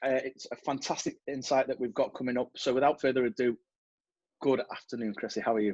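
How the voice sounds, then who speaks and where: A man talks very fast with an English accent at a medium pitch. His intonation is fairly even, and the sound is dry and close with no echo. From England. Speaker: podcast host. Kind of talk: podcast interview.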